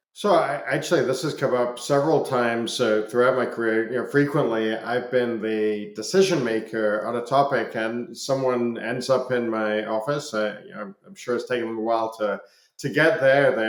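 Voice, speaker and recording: Amid noticeable background noise and audible room echo, a man speaks at a moderate pace and medium pitch with ordinary pitch variation and big swings in loudness. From Scotland. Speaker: business executive. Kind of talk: podcast interview. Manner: hesitant, many fillers and repetitions.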